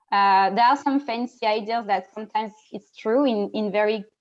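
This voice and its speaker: In a French accent, a woman talks at a fairly high pitch with fairly even intonation. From France. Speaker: diversity network lead, panelist. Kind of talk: panel discussion. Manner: halting, repetitive.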